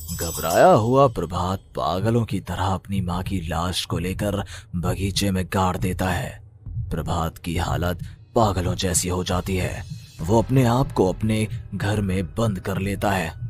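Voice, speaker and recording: A man does a cartoonish character voice at a very deep, low pitch and a moderate pace, with clear background noise behind him. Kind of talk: horror narration.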